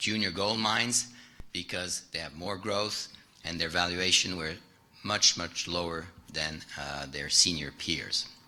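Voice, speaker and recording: A man's very deep, low voice, fairly slow, with ordinary pitch variation and audible room echo. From France. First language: French. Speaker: private investor, keynote speaker. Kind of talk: keynote presentation. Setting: stage with audience. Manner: halting, many fillers.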